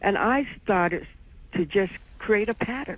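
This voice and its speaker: A woman with an unremarkable speaking voice. She has lively intonation and a fairly slow pace. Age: 60s. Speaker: caller. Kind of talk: call-in question.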